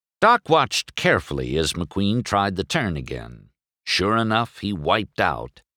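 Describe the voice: Here is plain reading aloud with lively intonation. The background is quiet.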